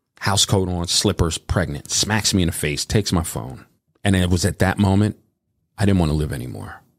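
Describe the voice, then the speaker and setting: A man's very deep, low voice with vocal fry, a fairly quick pace and ordinary pitch variation, on a very clean recording with a silent background. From Reading, Pennsylvania. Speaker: DJ and voiceover artist. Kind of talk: life story interview. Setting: studio.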